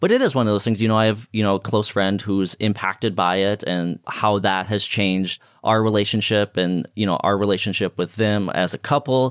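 Speaking at a fairly quick pace with hardly any pauses, a man with a fairly low pitch comes through in a dry, close sound with no echo on a very clean recording with a silent background. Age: 20s. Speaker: podcast host. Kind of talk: casual chat. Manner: animated.

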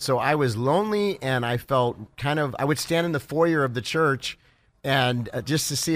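Talking at a fairly quick pace, a man with a fairly high pitch and ordinary pitch variation has an ordinary speaking voice. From California (Los Angeles area), born in Ohio. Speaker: pastor and evangelist. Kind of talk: radio interview. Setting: convention floor.

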